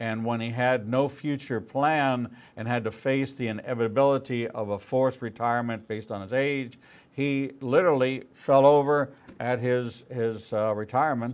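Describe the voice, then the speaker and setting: An unremarkable speaking voice talks at a moderate pace with fairly even intonation. The background is quiet. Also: man, medium pitch for a man. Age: 60s. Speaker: rabbi and talk show host. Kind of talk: interview.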